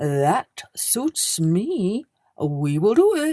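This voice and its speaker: This is a put-on character voice pitched fairly high. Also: female-sounding voice. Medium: read story. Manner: grand, boastful.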